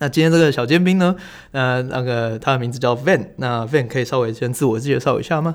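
A man talks fairly quickly in an ordinary speaking voice at a medium pitch with ordinary pitch variation. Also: very clean recording, silent background. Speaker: podcast host, energy educator. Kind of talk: casual interview chat.

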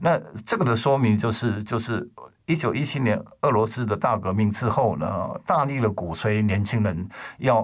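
His pitch varies in an ordinary way around a medium level. The man uses a plain, everyday voice at a moderate pace. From Taiwan. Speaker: record label founder. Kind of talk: casual chat.

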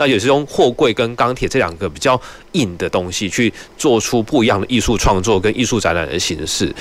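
Against noticeable background noise, a man at medium pitch talks at a fairly quick pace with lively intonation. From Taiwan, Nantou. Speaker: city cultural affairs official. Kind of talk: radio interview. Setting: radio studio, live broadcast.

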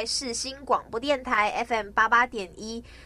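A high-pitched woman at a very slow pace over noticeable background noise. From Malaysia, Sabah. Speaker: radio host. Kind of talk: casual chat.

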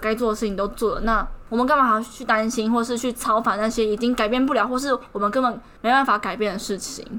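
A woman talks at a very fast pace with a Taiwanese accent. Her fairly high voice carries an animated tone. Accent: Taiwanese Mandarin. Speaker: podcast co-host. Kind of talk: casual chat.

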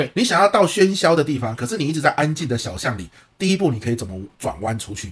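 This man talks very fast at a fairly high pitch, with vocal fry, very wide pitch swings and big swings in loudness. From Taiwan. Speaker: professional lecturer and podcast co-host. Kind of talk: casual chat.

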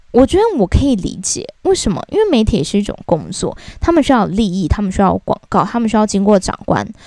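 A woman with a Taiwanese accent speaks at a fairly quick pace with hardly any pauses. Her fairly high voice has very wide pitch swings and vocal fry. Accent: Taiwanese Mandarin. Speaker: podcast host. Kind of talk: casual rant monologue. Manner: very fast.

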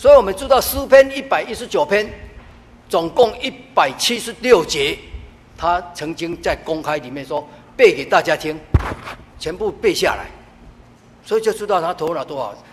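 A man with a high-pitched voice speaks with very wide pitch swings and big jumps in loudness, leaving long, frequent pauses over noticeable background noise. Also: moderate pace. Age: 70s. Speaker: church deacon. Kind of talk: testimony.

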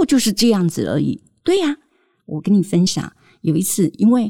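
A woman with a Taiwanese accent speaks in a dark, mellow, somewhat breathy tone with very wide pitch swings. The sound is dry and close, with no echo. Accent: Taiwanese Mandarin. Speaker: parenting podcast host. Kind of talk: storytelling monologue.

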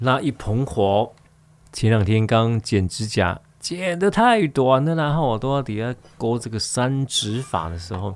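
A man is speaking. His pace is fairly slow. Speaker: radio host. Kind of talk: casual radio talk. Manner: animated.

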